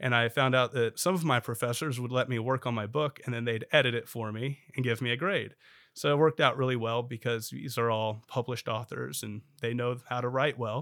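A man talks in a normal speaking voice at medium pitch. He moves at a fairly quick pace with ordinary pitch variation. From Oklahoma, Bartlesville. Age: 30s. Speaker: state legislator. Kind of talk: interview conversation.

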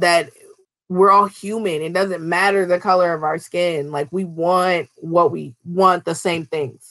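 A woman has an ordinary speaking voice at a medium pitch. She goes at a fairly slow pace with fairly even intonation. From Minnesota. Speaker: children's book author. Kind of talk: interview.

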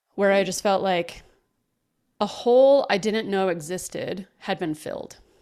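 With an American accent, a plain, everyday voice moves at a fairly slow pace with ordinary pitch variation. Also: woman, medium pitch for a woman. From Texas. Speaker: podcaster. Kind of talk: interview conversation.

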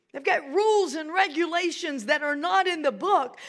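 A woman with an American accent speaks at a fairly slow pace. Her pitch is extremely high and her intonation lively. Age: 60s. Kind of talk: sermon. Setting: church.

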